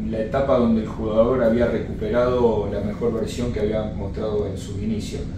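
A man's fairly slow speech comes through with noticeable background noise and audible room echo. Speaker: football coach. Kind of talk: interview answer. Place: home room.

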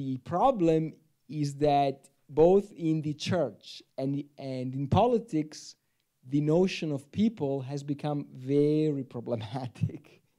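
Against a quiet background, a man with an Italian accent speaks at a very slow pace in a fairly high voice with a dark, mellow tone and ordinary pitch variation. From Italy. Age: 40s. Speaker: theology professor. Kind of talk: panel discussion. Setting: stage with audience. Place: hall. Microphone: handheld.

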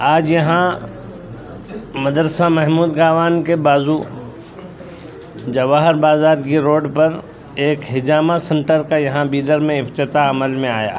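A man with a fairly high pitch and fairly even intonation at a slow pace, over faint background noise.

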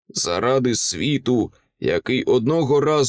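Against a quiet background, a natural voice reads aloud with ordinary pitch variation.

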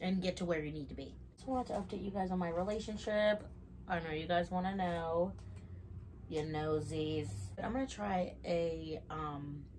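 A woman speaks at a moderate pace in a fairly low pitch, with ordinary pitch variation and light background noise. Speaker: mukbang vlogger. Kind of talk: casual vlog chat while eating. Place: home room. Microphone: camera far.

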